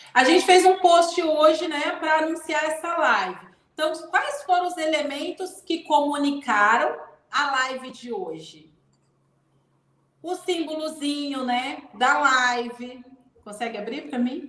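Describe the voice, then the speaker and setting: Speaking at a very slow pace, a woman with a high pitch and ordinary pitch variation shows big swings in loudness. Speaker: leadership mentor. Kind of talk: live stream talk.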